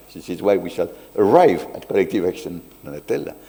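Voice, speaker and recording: A man speaks at a fairly quick pace. He has a French accent. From France. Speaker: sociologist. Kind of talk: academic talk.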